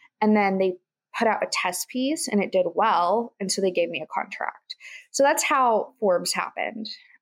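With an American accent, a woman talks at a moderate pace and medium pitch with lively intonation in a plain, everyday voice, and the sound is dry and close with no echo. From Kansas. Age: 20s. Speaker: entrepreneur and podcast host. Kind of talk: interview.

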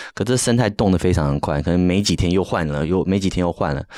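Very fast speech from a man with ordinary pitch variation. The recording is very clean, with a silent background. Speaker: NFT project founder, designer. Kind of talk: casual interview chat.

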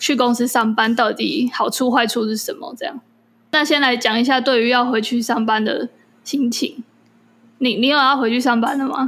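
A woman talks in a high pitch at a moderate pace. Her tone is animated. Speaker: podcast co-host. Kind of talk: casual chat. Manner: animated, frequent laughter.

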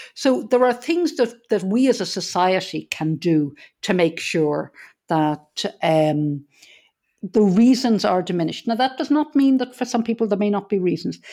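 With an Irish accent, a woman talks at a moderate pace in a dark, mellow tone, her pitch swinging very widely. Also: medium pitch for a woman. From Ireland. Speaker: business consultant and hospice charity chair. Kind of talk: casual interview.

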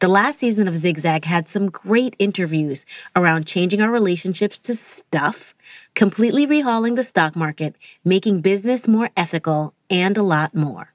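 A woman of medium pitch speaks in a normal speaking voice at a moderate pace with lively intonation, the sound dry and close with no echo. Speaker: podcast host. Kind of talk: scripted narration.

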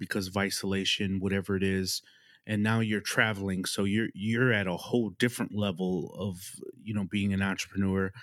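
A man with an unremarkable speaking voice talks at a fairly low pitch. He keeps a moderate pace in a very clean recording with a silent background. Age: 40s. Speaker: podcast host. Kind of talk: podcast interview.

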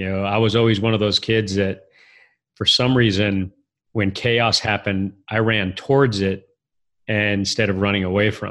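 In an American accent, a man speaks at a moderate pace with a fairly low pitch and a monotone, flat intonation against a quiet background. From US Southwest, southeastern New Mexico. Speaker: author and business executive. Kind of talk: interview conversation.

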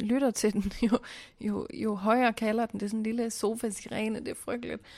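Her intonation monotone and flat, a woman talks at a moderate pace and a fairly high pitch. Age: late 20s to 30s. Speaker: podcast co-host. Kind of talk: casual chat.

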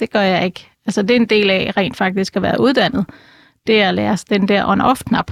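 A woman speaks at a medium pitch with vocal fry and very even loudness. The sound is dry and close, with no echo. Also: moderate pace. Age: 50s. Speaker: animal communicator and clairvoyant. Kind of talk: interview. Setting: studio.

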